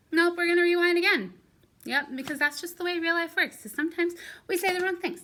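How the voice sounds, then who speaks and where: A woman speaks very fast in an extremely high, raised, projected voice with a bright, sharp tone. Her intonation stays fairly even on a very clean recording with a silent background. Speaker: second-grade teacher. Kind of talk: recorded lesson for young pupils. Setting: recorded video lesson.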